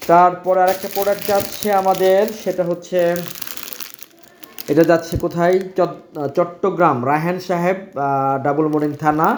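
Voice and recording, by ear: A man's fairly high voice, fairly slow and fairly even in intonation, with audible room echo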